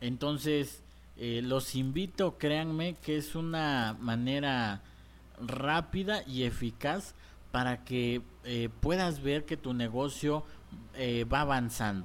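Very slow in pace, a man talks at a medium pitch with ordinary pitch variation. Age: 20s. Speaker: business coach. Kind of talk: tutorial. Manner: hesitant with fillers.

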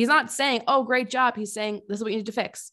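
A woman speaks in an animated tone at a fairly quick pace. The recording is very clean, with a silent background. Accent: American. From Connecticut. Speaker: podcast host, fitness competitor. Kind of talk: casual monologue.

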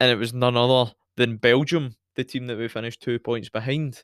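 Heard at moderate pace, a man speaks at medium pitch with a strong Scottish accent. The sound is dry and close with no echo, on a very clean recording with a silent background. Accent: Scottish, fairly broad. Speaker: podcast host, football fan. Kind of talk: casual chat, football podcast banter. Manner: animated, jokey.

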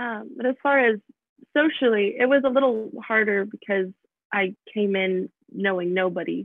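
This woman's voice is fairly high-pitched, with ordinary pitch variation, and her pace is fairly slow. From US Midwest, Michigan. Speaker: college student. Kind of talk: interview. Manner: hesitant, many fillers.

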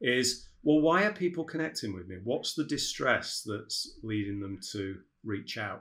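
The recording is very clean, with a silent background. A man with a British accent speaks at a fairly slow pace, his pitch swinging very widely. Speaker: dental business consultant. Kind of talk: casual interview chat.

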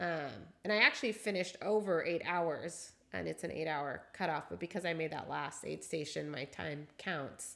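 A woman with an American accent speaks at a moderate pace in a very deep, low pitch, with a bright, sharp tone, vocal fry and ordinary pitch variation. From Seattle. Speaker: amateur trail runner, host's wife. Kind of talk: casual chat.

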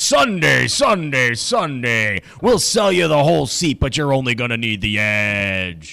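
A man's put-on character voice at medium pitch, fairly slow in pace, with hardly any pauses. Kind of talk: announcer. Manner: booming, hyped.

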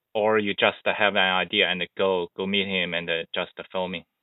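This man speaks with a Chinese accent. His pace is moderate. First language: Mandarin Chinese. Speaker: skateboarding podcast host. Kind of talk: interview; scripted narration.

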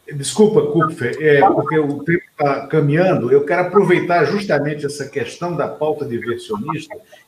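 At a moderate pace and with hardly any pauses, a man speaks in a fairly high voice with ordinary pitch variation, noticeable background noise behind him. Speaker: political talk show host. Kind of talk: interview.

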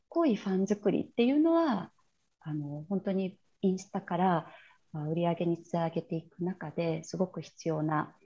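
A woman's somewhat breathy voice with a dark, mellow tone and fairly low pitch, with ordinary pitch variation at a moderate pace, against a quiet background. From China (Shanghai), Japanese returnee. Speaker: entrepreneur and branding coach. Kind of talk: interview. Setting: video call.

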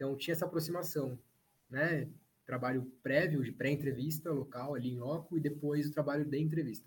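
With fairly even intonation and a fairly quick pace, a man talks in a somewhat breathy voice pitched fairly high. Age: 30s. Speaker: journalist. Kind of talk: casual chat.

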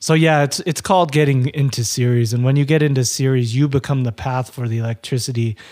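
At a moderate pace, a man speaks with medium pitch and ordinary pitch variation in an unremarkable speaking voice. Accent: American. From Utah. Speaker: former power lineman, amputee. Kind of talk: interview storytelling.

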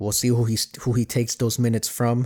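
A man with an American accent at a moderate pace, on a very clean recording with a silent background and a dry, close sound with no echo. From Miami, Florida. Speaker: sports podcast host. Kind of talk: solo sports commentary podcast. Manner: casual, hesitant with fillers.

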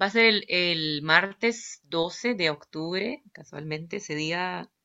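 A woman with a Nicaraguan accent speaks very slowly, with a fairly low pitch and ordinary pitch variation. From Nicaragua, Managua. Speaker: violinist and composer. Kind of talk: interview. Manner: hesitant, many fillers.

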